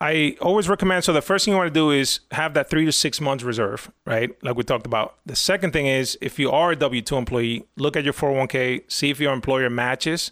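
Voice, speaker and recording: A man with a Spanish accent talks at a fairly quick pace and a fairly high pitch, with hardly any pauses and very even loudness. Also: ordinary pitch variation. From Dominican Republic, raised from 11 in New York. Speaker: financial planner. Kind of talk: casual interview.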